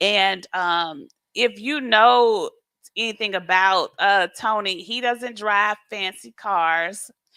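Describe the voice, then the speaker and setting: A woman speaks very slowly with an American accent, at medium pitch with ordinary pitch variation. Her tone is bright and sharp, and the recording is very clean with a silent background. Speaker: financial mentor, co-host with husband. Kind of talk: casual chat. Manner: halting.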